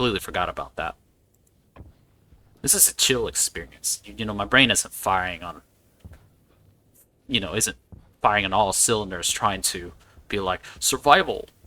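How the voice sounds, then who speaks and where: A man speaks at a moderate pace with a relaxed yet bright, sharp tone and ordinary pitch variation. His loudness swings widely, and long pauses come often. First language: not English. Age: 40s. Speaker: gaming video creator. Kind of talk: casual gameplay commentary. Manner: relaxed, with frequent restarts and repeated words.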